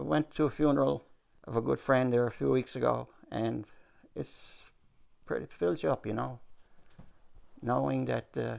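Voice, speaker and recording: A man with a Newfoundland accent speaks at a moderate pace, leaving long, frequent pauses. His fairly low pitch swings very widely. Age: 70s. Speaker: retired salesman, pensioner. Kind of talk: interview.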